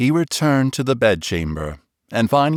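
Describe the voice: Quiet surroundings and plain reading aloud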